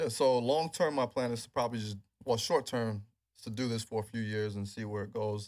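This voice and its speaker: A man with an American accent speaks at a fairly quick pace in an ordinary speaking voice, medium in pitch with ordinary variation. The recording is very clean, with a silent background. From New York City, Queens. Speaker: NFL strength and rehab trainer. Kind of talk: interview.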